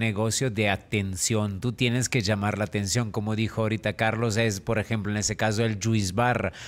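A medium-pitched man with a non-native accent, ordinary pitch variation and a moderate pace. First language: not Spanish (speaking Spanish). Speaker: co-host; show host. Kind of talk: casual chat. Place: studio. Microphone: studio mic.

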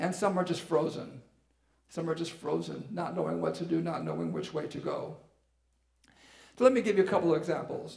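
A man at a fairly quick pace, with audible room echo and a quiet background. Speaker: pastor. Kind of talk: sermon. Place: church. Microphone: headset.

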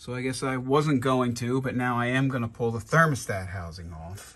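A man is speaking here. He takes a fairly slow pace. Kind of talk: casual vlog chat. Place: garage. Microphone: phone near.

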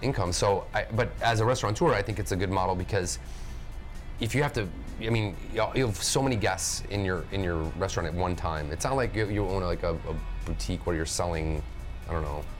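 A man talks at a fairly quick pace with a fairly low pitch. Clear music plays behind him. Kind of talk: roundtable discussion. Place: cafe. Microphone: lapel.

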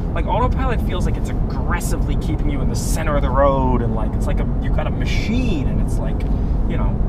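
Someone talks at a very fast pace over loud background noise, with a dry sound and no echo. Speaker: driver demonstrating driver-assist software. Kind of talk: casual explanatory chat. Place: car. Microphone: camera far.

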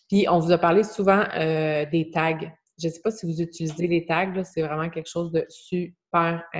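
A woman speaks with a Quebec accent in a fairly low voice. Her delivery is flat and monotone at a fairly slow pace. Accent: Québécois French. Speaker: online fitness coach. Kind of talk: group coaching video call. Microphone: video call.

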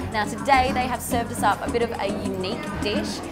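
Over loud music in the background, a woman talks at a moderate pace. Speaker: review show host. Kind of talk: presenter review to camera. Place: cafe. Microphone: lapel.

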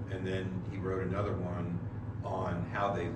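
A man talks at a fairly slow pace. The room echo is audible and the background noise is loud. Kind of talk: informal lecture. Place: church. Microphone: camera far.

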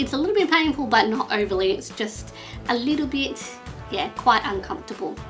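Faint music plays in the background as a woman with an Australian accent talks fairly quickly at a high pitch. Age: 20s. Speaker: vlogger. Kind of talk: casual talk to camera. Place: home room. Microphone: webcam.

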